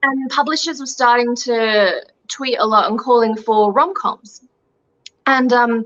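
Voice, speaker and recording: Here a woman speaks at a high pitch with ordinary pitch variation. Her pace is fairly slow. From Australia. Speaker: young adult author. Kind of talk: interview.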